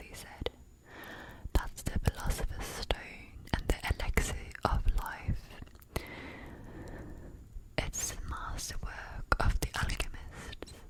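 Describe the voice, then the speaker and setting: Whispering at a very slow pace, a woman leaves long, frequent pauses, her loudness swinging widely amid noticeable background noise. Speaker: ASMR artist. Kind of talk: book reading for sleep. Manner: soft-spoken, slow.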